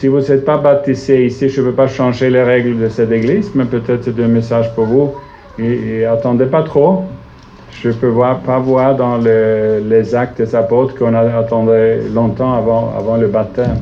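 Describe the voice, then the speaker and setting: Amid audible room echo and noticeable background noise, a man with a Swedish accent speaks at a moderate pace. His medium-pitched voice keeps very even loudness and fairly even intonation. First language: Swedish (speaking French). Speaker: visiting preacher. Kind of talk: sermon. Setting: church. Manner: halting, searching for words.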